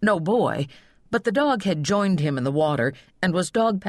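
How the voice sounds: The speaker reads in a natural reading voice, with lively intonation throughout.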